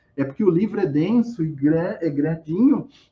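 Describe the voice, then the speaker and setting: This man talks with lively intonation. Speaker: academic presenter, historian study group. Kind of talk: lecture.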